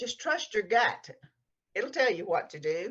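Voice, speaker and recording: A woman speaks in a strong Texas accent. Her intonation is lively. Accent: strong Texas drawl. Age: 70s. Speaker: novelist. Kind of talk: interview.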